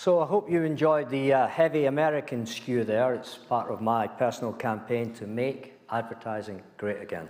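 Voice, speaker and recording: In a Scottish accent, a man speaks at medium pitch with hardly any pauses. Room echo is audible. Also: ordinary pitch variation, moderate pace. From Scotland, small mining village. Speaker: former company chief executive. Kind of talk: lecture.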